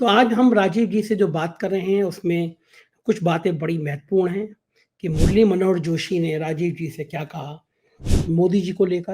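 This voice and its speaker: Here a man uses a high pitch with ordinary pitch variation. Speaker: news channel host, interviewer. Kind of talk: political interview talk show.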